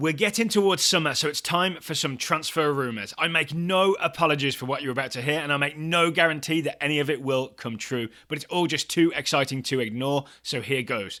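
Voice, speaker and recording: Upbeat and bright, sharp in tone, a man talks at a fairly quick pace with ordinary pitch variation. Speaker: soccer news host. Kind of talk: daily sports news podcast read. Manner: upbeat, jokey.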